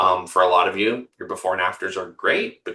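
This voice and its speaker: Moderate pace, with a Canadian accent. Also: man. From Canada. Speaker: marketing firm owner and practice coach. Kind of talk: webinar presentation. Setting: webinar video call. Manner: many filler words.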